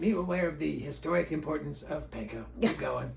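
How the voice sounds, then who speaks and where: Clear background noise sits behind a man's put-on character voice. He moves at a fairly quick pace. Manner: goofy, broken grammar.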